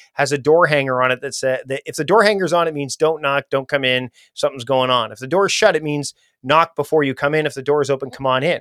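A plain, everyday voice from a man, fairly high in pitch with ordinary pitch variation, in a dry, close sound with no echo on a very clean recording with a silent background. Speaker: productivity expert. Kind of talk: interview conversation.

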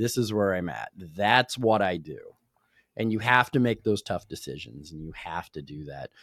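A plain, everyday voice belongs to this man, fairly low in pitch, with lively intonation, big swings in loudness and a moderate pace, captured dry and close with no echo on a very clean recording with a silent background. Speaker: podcast host. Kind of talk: casual interview. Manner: informal, conversational.

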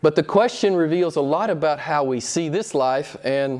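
A man speaks here. His pitch is fairly high, with ordinary pitch variation. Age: 60s. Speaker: pastor. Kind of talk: sermon. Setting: church. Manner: halting.

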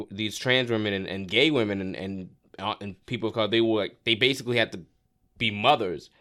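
In a very clean recording with a silent background, a man with an American accent speaks at a fairly low pitch and moderate pace, his tone bright and sharp, with ordinary pitch variation. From Florida. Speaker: stand-up comedian. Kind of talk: casual chat.

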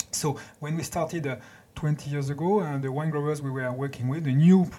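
A man with a French accent at a fairly quick pace, his intonation fairly even. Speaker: winemaker. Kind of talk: interview. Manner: halting.

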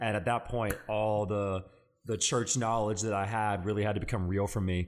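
On a very clean recording with a silent background, a man with a fairly low pitch talks at a very fast pace with fairly even intonation. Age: 20s. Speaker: student pastor and podcast co-host. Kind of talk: casual chat.

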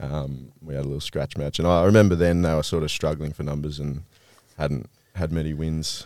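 A man with an Australian accent and a very deep, low pitch speaks at a fairly quick pace with fairly even intonation. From Victoria, Australia. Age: 20s. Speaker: Australian rules footballer. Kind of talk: casual chat.

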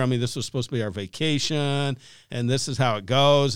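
A man has an unremarkable speaking voice at a medium pitch and a moderate pace. The recording is very clean with a silent background. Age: 60s. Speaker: pastor and author. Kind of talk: casual interview chat. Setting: studio.

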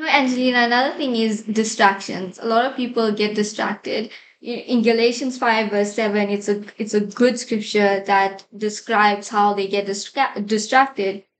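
At a moderate pace and with hardly any pauses, a woman speaks in an unremarkable speaking voice with a fairly high pitch. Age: 20s. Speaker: ministry team member. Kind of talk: faith-based discussion. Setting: studio.

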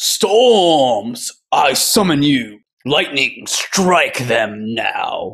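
A man's put-on character voice, fairly high in pitch, very slow, with very wide pitch swings. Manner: campy, dramatic.

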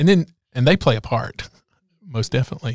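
A man with an American accent speaks at a fairly quick pace in a medium pitch, with vocal fry, recorded dry and close with no echo. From rural North Carolina. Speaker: podcast host, business advocate. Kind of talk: interview.

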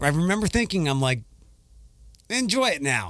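Lively intonation runs through a man's fairly quick speech. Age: 40s. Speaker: podcast host. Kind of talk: casual chat. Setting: studio.

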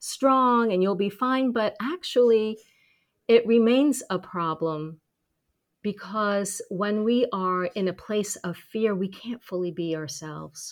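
An ordinary speaking voice at a fairly slow pace, ordinary pitch variation, very clean recording with a silent background. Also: woman. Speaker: speaking confidence coach and author. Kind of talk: casual interview chat.

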